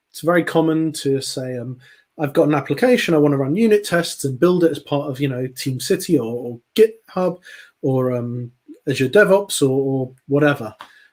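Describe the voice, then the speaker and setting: A man with a British accent talks with ordinary pitch variation and big swings in loudness. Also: fairly high pitch for a man, moderate pace. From England, London. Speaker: software consultant and conference speaker. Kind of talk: technical talk on live stream. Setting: live stream presentation. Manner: hesitant, many fillers and repetitions.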